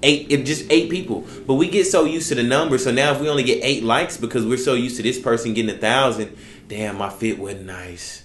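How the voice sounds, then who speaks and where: Speaking very fast at a medium pitch, a man uses lively intonation. Audible room echo surrounds his voice. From Texas (Houston area). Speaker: barber, podcast co-host. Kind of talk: casual chat. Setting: barbershop.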